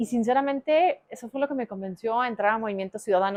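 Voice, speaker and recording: A woman with a fairly high pitch talks at a fairly quick pace in an ordinary speaking voice. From Mexico, Aguascalientes. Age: 30s. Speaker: politician. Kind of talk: interview.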